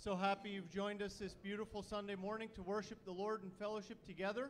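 A man's high-pitched voice at a fairly quick pace, over light background noise. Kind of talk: welcome and prayer. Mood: warm, reverent. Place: church. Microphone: handheld.

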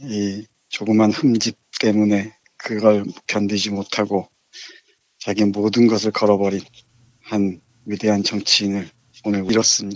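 A man speaks at a fairly slow pace with long, frequent pauses. His fairly low voice stays monotone and flat. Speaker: literature professor. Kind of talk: book review discussion, reading aloud. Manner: subdued, somber.

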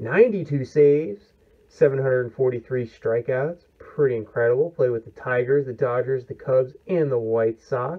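The background stays quiet. The pace is moderate. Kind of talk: casual vlog chat. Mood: pleased, enthusiastic. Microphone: phone near.

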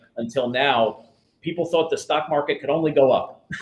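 With an American accent and ordinary pitch variation, a man speaks amid audible room echo. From New Jersey. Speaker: financial planner; guest. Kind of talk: interview.

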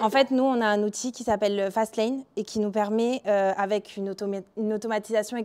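Monotone and flat in intonation, a woman with a fairly high pitch speaks at a fairly slow pace. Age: 20s. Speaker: mobile software developer; conference speaker. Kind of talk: conference talk. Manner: frequent filler hesitations. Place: hall.

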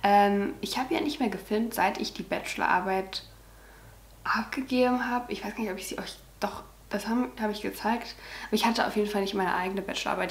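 Speaking fairly quickly, a woman uses ordinary variation in her pitch. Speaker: vlogger. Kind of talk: casual vlog chat. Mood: cheerful, proud. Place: home room. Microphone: camera far.

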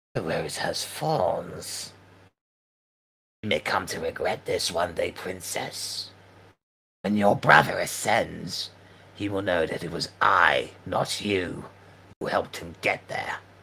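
Putting on a character voice, a man growls, hisses and rasps at a fairly low pitch and a fairly slow pace, with long, frequent pauses. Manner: furious, snarling, menacing.

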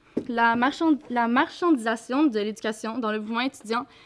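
Fairly even intonation at a moderate pace, with a Quebec accent. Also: woman. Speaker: student activist. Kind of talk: talk to an audience. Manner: halting. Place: classroom. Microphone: podium.

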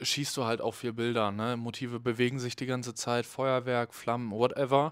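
A man's voice, dry with no echo against a quiet background, moves at a moderate pace with monotone, flat intonation. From Cologne, Germany. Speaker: festival photographer; podcast guest. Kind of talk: casual chat. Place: studio. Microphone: handheld.

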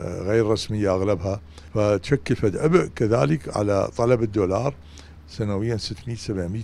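A fairly low-pitched man at a very slow pace, ordinary pitch variation, dry sound with no echo. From Iraq. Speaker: economic commentator. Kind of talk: news interview. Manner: formal. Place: office. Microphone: handheld.

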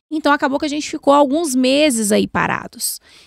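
A woman talks at a moderate pace with lively intonation. The sound is dry, with no echo and a quiet background. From Brazil, Minas Gerais (Belo Horizonte), moved to Brasília at 12. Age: 40s. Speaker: bariatric surgeon; guest. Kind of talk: podcast interview. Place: studio. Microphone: studio mic.

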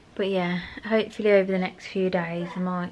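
A woman speaks in a weary tone with monotone, flat intonation. There is light background noise. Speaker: vlogger. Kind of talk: casual vlog chat. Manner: slow, weary post-surgery voice. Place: home room. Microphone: phone near.

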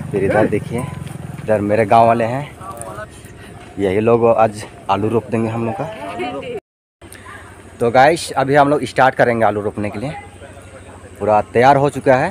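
Speaking at a fairly slow pace with long, frequent pauses, a man shows ordinary pitch variation in a dry recording with no echo and noticeable background noise. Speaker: village vlogger. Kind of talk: casual vlog chat. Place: farm machine. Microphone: phone near.

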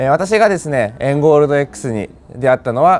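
The pitch of this man's voice is fairly high, and his speed is moderate. His intonation stays lively throughout. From Japan. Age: 20s. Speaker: customer testimonial speaker; speaker. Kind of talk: testimony. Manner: hesitant, frequent fillers. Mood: earnest, motivational. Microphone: lapel.

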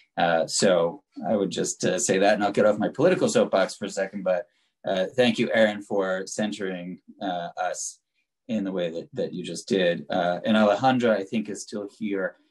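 A man with an American accent and a normal speaking voice, fairly low in pitch with ordinary pitch variation, at a moderate pace against a quiet background. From New York. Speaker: city council member chairing hearing. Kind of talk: public hearing. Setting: video call. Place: home room. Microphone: video call.

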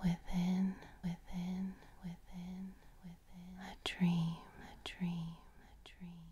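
Soft-spoken and somewhat breathy, a woman talks very slowly at medium pitch in a dark, mellow, monotone voice whose loudness swings widely. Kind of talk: poetry reading.

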